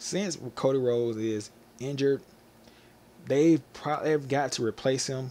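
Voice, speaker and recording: This man's medium-pitched voice has a dark, mellow tone and ordinary pitch variation, moving at a fairly slow pace with long, frequent pauses. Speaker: wrestling review YouTuber. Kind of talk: wrestling commentary rant. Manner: animated, sarcastic, indignant.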